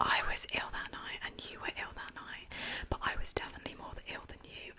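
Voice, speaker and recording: Whispering at a fairly quick pace, a woman shows big swings in loudness over noticeable background noise. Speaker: ASMR creator. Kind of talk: ASMR chat. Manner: whispered.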